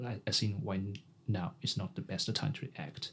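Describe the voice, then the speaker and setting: His pitch is fairly low, with ordinary variation. The man sounds somewhat breathy. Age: 20s. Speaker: podcast co-host. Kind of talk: casual interview chat. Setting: studio.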